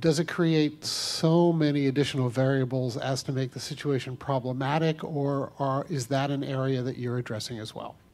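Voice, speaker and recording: Amid noticeable background noise, a man with a fairly high pitch talks at a moderate pace with fairly even intonation and hardly any pauses. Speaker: audience member asking a question. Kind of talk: audience question.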